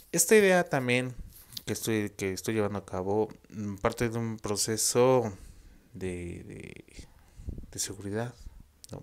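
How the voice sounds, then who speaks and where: A man with a Mexican accent at a fairly slow pace, with ordinary pitch variation, big swings in loudness and long, frequent pauses. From Mexico. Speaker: vlogger. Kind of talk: casual monologue to camera. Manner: halting. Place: home room. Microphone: earbuds.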